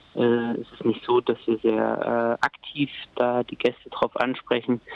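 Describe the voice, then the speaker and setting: The pace of speech is moderate. Background noise is noticeable. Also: man. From Thuringia, Germany. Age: 30s. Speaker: café owner and coffee roaster. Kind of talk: interview. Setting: phone call. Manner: hesitant, many filler sounds.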